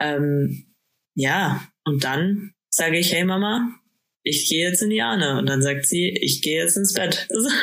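This woman's voice is fairly low and has lively intonation. She talks at a fairly slow pace. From Bavaria, Bad Aibling. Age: 20s. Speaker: podcast co-host. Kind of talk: casual chat. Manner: halting, many fillers.

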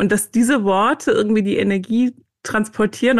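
A woman's ordinary speaking voice at medium pitch, fairly quick pace, quiet background. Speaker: author and meditation teacher. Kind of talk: interview.

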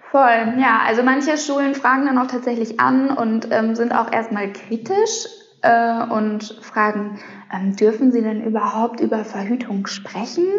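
The intonation stays fairly even. Noticeable background noise and audible room echo surround the voice. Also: woman, fairly high pitch for a woman, fairly slow pace, very even loudness. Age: 30s. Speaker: sex educator. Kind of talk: casual interview.

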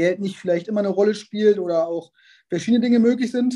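This man speaks at a very fast pace in a high pitch, with fairly even intonation. His tone is dark and mellow. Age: 30s. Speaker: sports scientist. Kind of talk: interview.

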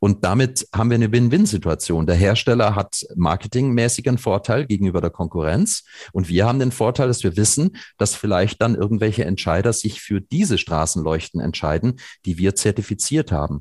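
A man with a fairly low pitch and a somewhat breathy voice speaks at a fairly quick pace with lively intonation and very even loudness, recorded with a dry, close sound and no echo. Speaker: nonprofit environmental organization founder. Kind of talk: podcast interview.

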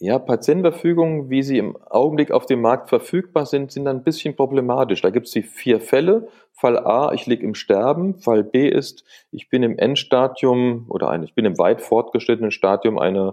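Here a man speaks with a dark, mellow tone at a medium pitch. His intonation is lively and his pace moderate. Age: 60s. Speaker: palliative care doctor. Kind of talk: interview. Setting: phone call.

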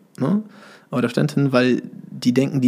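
A man speaks fairly slowly at medium pitch, with noticeable background noise around him. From Germany, Hesse (Marburg). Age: 30s. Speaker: boating school founder, former wakeboard champion. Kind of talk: casual interview.

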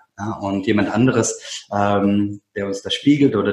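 This man's voice sits fairly low and sounds somewhat breathy. His intonation stays fairly even. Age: 30s. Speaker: self-management consultant and coach. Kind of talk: casual conversation. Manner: halting, many fillers and repeated words.

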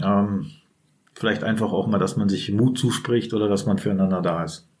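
With ordinary pitch variation, a man talks at a medium speed. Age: 40s. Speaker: prison inmate. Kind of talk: interview. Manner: halting.

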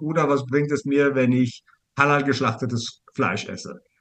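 A man talks in a plain, everyday voice at a fairly high pitch. His pace is moderate. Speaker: business coach. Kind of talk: casual interview.

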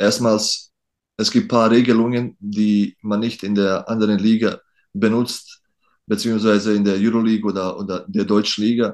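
A male voice pitched fairly low, with monotone, flat intonation. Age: 30s. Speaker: professional basketball player. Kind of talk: interview. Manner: halting.

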